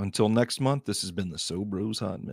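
A man speaks at a moderate pace with ordinary pitch variation, the sound dry with no echo. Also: quiet background. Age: 30s. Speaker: podcast host. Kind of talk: casual monologue. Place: studio. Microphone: studio mic.

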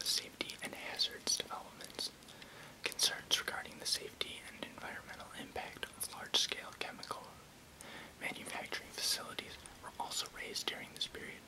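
Over noticeable background noise, a soft-spoken man is whispering. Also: fairly quick pace. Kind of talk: reading an encyclopedia article aloud. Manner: soft ASMR whisper, close to mic. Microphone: webcam.

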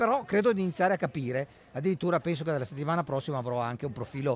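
A man with a fairly high pitch speaks at a very fast pace with lively intonation. The sound is dry with no echo, plus light background noise. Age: 60s. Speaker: history professor. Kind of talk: interview. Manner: halting. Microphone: studio mic.

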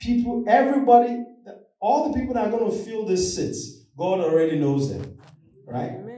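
A man with a high pitch talks at a moderate pace with very wide pitch swings, and audible room echo surrounds his voice. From Nigeria. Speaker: lay preacher. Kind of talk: sermon. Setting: church. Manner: animated. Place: church. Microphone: camera far.

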